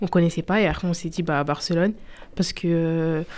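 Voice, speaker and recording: On a very clean recording with a silent background, a woman speaks at a moderate pace in a fairly low voice. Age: 20s. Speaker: student. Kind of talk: radio interview.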